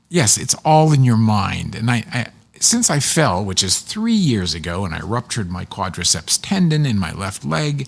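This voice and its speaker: Someone with an American accent speaks at a moderate pace, with very wide pitch swings. Noticeable background noise runs underneath. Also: man. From Pittsburgh, western Pennsylvania. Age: 60s. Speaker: public television producer and narrator. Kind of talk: casual chat.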